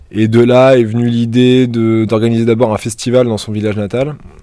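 Talking at a fairly quick pace, a man has a medium pitch and a dark, mellow tone. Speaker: electronic musician. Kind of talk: interview. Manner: hesitant, many fillers.

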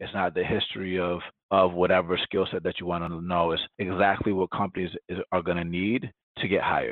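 A man's very deep, low voice with a Spanish accent at a fairly quick pace. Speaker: tech startup founder. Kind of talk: podcast interview.

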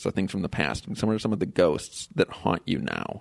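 A man's voice with vocal fry. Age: 40s. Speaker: podcast host. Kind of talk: casual interview. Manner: halting, many fillers and repeats.

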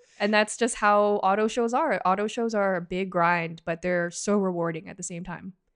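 In an ordinary speaking voice with a Canadian accent, a woman talks with hardly any pauses, ordinary pitch variation and big swings in loudness against a quiet background. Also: medium pitch for a woman, moderate pace. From Canada, Toronto area (Markham). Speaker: automotive journalist and editor. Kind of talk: casual interview chat.

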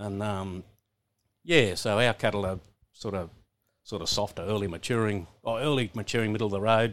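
A man with a rural Australian accent speaks at a moderate pace with long, frequent pauses, his fairly low voice on a very clean recording with a silent background. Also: ordinary pitch variation. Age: 60s. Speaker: cattle stud owner and farmer. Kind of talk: casual interview chat. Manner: halting, repeats words.

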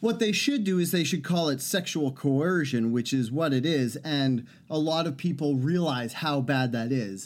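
An unremarkable speaking voice from a man, fairly high in pitch, with ordinary pitch variation, a moderate pace and hardly any pauses. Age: 30s. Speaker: podcast co-host. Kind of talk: casual chat.

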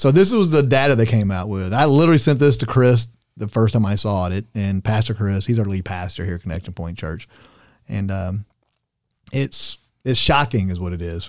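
A man's fairly low-pitched, a normal speaking voice, quick-paced and with lively intonation. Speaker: pastor. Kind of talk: casual chat.

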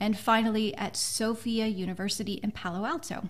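A somewhat breathy woman's voice of medium pitch. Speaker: podcast host and author. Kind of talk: interview.

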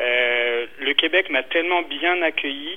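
Here a man talks with ordinary pitch variation. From France (Brittany). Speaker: entrepreneur. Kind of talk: radio interview. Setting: phone call. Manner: halting, many repetitions.

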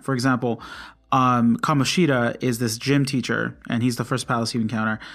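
With an American accent, a man talks at a fairly quick pace in an ordinary speaking voice of medium pitch, on a very clean recording with a silent background. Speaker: podcast host, gamer. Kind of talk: casual solo podcast monologue. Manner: informal with frequent fillers.

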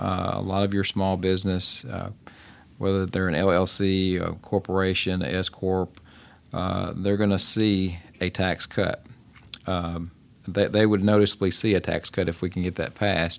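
Speaking in a West Tennessee accent, a man delivers his words at a moderate pace with a very deep, low pitch and monotone, flat intonation. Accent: Southern US (West Tennessee). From Tennessee (Shelby and Fayette counties, near Memphis). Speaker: state politician. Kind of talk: interview.

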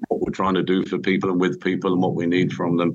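This man has a British accent and a very deep, low pitch. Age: 60s. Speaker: construction company chief executive. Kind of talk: interview, casual chat.

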